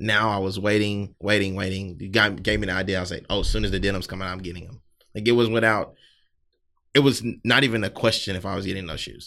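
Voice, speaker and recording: A man with a Southern US accent talks at a very fast pace with a fairly low pitch and a bright, sharp tone. His intonation is fairly even, his loudness swings a lot, and the recording is very clean with a silent background. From US South, South Carolina. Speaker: sneaker brand owner and podcaster. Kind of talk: casual chat.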